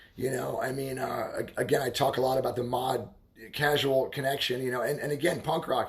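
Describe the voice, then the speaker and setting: With noticeable background noise, a man with an American accent talks at a fairly quick pace, at a medium pitch and in a monotone, flat way. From Baltimore, US. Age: 30s. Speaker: livestreamer talking about subculture. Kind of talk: casual livestream monologue. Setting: live stream at home. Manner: halting, many fillers and repetitions.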